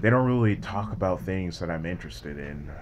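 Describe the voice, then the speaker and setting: A man speaks at a moderate pace in a very deep, low voice. His pitch swings very widely, and the room echo is audible. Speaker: YouTuber. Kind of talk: casual vlog monologue. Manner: mellow, laid-back; hesitant, many fillers.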